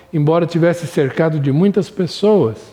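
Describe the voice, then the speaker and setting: At a moderate pace, a man with a high pitch speaks over noticeable background noise. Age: 60s. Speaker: Sunday school Bible teacher. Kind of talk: recorded Bible lesson.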